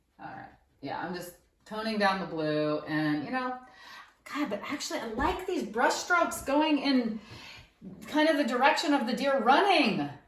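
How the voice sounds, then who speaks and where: Amid audible room echo, a woman with a high voice and an animated tone uses very wide pitch swings and big swings in loudness, leaving long, frequent pauses. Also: moderate pace. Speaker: painter. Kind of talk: casual chat.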